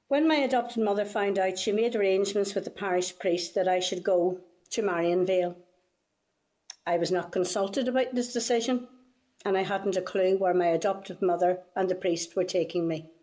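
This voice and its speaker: At a fairly quick pace, a woman speaks in a Northern Irish accent with a dark, mellow tone and ordinary pitch variation. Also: medium pitch for a woman. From Northern Ireland. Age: 70s. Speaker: witness giving testimony. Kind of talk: testimony.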